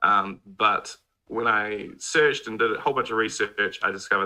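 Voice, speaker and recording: A man with a New Zealand accent at a fairly quick pace. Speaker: mobile game YouTuber. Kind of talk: casual chat. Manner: quiet.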